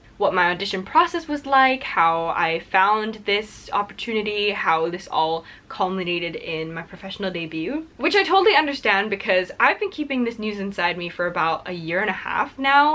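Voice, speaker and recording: With noticeable background noise behind her, a woman talks at a moderate pace with hardly any pauses and very wide pitch swings. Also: medium pitch for a woman. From Singapore. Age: 20s. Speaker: musical theatre performer. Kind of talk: casual chat.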